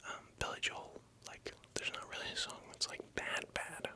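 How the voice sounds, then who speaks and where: Someone whispers over noticeable background noise. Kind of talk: ASMR whispered rambling, casual talk to camera. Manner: whispered, soft-spoken.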